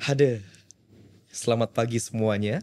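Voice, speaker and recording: In a put-on character voice, a man talks at a moderate pace with a resonant, medium-pitched sound and fairly even intonation. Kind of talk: formal, professional, authoritative.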